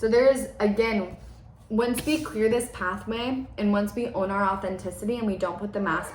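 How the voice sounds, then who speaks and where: A woman at a medium pitch speaks in an animated tone. There is audible room echo and noticeable background noise. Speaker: spiritual forecaster. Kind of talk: channeled energy forecast monologue. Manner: fast.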